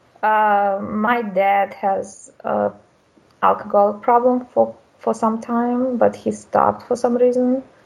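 Speaking at a very slow pace, the voice has a Russian accent. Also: woman. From Russia, small town. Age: 30s. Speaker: caller. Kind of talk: call-in conversation about marriage.

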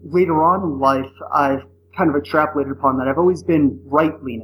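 Using a normal speaking voice, a man speaks at a moderate pace in an American accent. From US Northeast. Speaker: caller. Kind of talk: call-in conversation.

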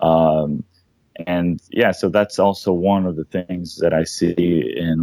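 A man with a very deep, low voice at a fairly slow pace. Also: dry, close sound with no echo. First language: not English. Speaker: caller. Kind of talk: casual discussion.

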